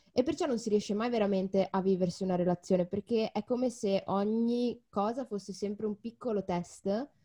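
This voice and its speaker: The woman's voice is medium in pitch, somewhat breathy and dark and mellow in tone. She speaks at a fairly quick pace with ordinary pitch variation. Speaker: podcast co-host. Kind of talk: casual chat.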